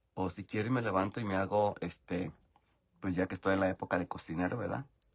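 Speaking at a fairly quick pace against a quiet background, a man with a Mexican accent has a very deep, low pitch. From rural Mexico. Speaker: YouTuber live-streaming while doing makeup. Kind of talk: casual live-stream chat. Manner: animated. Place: home room. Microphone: phone near.

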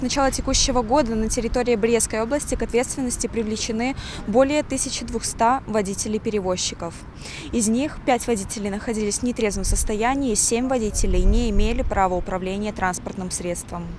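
Over light background noise, a woman speaks at a fairly quick pace with ordinary pitch variation in a dry sound with no echo. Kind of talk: interview answer. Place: street. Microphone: handheld.

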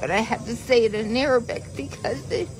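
With an American accent, a woman talks at a moderate pace in a fairly high-pitched voice over noticeable background noise. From United States. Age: 60s. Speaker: teacher. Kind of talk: interview answer. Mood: pained, emotional, weak. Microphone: phone near.

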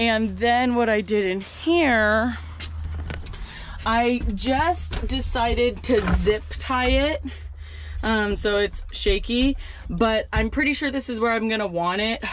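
Over light background noise, a woman speaks at a very slow pace with ordinary pitch variation in a dry sound with no echo. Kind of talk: casual vlog tutorial. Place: farm machine. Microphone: phone near.

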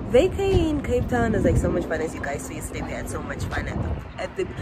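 A woman talks at a fairly quick pace. Music plays in the background. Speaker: vlogger. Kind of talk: casual vlog chat. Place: home room. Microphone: phone near.

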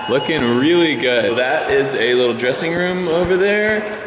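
A man speaks at a fairly slow pace. There is noticeable background noise. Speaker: vlogger. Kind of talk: casual vlog chat. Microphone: phone near.

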